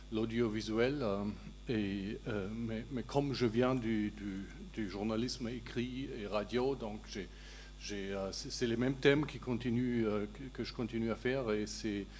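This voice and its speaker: With a German accent, a man talks at a very slow pace amid audible room echo. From Germany. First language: German (speaking French). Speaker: journalist and producer. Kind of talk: panel discussion. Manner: halting, repeats words.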